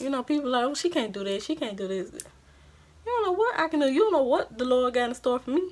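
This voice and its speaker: A woman in a Louisiana accent speaks at a fairly quick pace, high-pitched and with an animated tone. Her pitch swings very widely, with noticeable background noise behind her. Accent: country Louisiana. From Louisiana, US South. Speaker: beauty vlogger. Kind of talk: casual chat.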